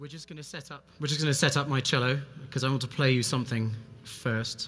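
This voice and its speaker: Music plays behind a very fast delivery. The loudness swings widely. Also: man, medium pitch for a man, fairly even intonation. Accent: English. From England. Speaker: cellist and speaker. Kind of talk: conference talk.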